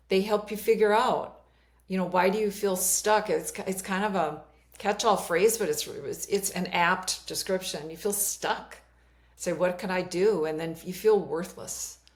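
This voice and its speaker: A woman talks at a medium pitch. She has a slight Minnesota accent. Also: fairly even intonation, fairly slow pace. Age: 60s. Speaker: life coach. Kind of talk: interview conversation.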